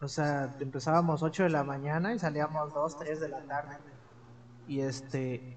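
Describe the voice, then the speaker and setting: This man has an unremarkable speaking voice with a fairly high pitch. He speaks at a fairly slow pace with fairly even intonation. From Mexico, Veracruz (Amatlán de los Reyes, near Córdoba). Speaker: teacher, podcast co-host. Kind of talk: casual chat.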